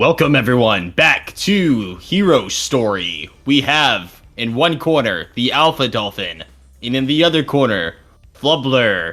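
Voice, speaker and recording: A man puts on a booming character voice at a medium pitch. He speaks fairly slowly, with faint music in the background. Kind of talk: announcer. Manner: bombastic.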